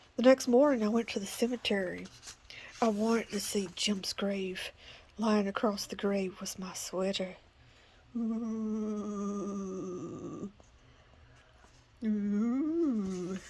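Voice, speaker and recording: A woman at medium pitch talks very slowly, with long, frequent pauses, big swings in loudness and ordinary pitch variation. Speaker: grandmother. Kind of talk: spooky children's story reading.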